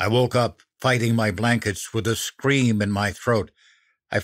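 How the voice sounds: Quiet surroundings, fairly even intonation and a natural reading voice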